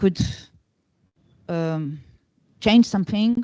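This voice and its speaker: The voice has a Brazilian Portuguese accent and a dark, mellow tone. Its pitch varies in an ordinary way, and the sound is dry and close with no echo. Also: woman. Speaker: conference discussant. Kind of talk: academic discussion. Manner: halting, many fillers and restarts.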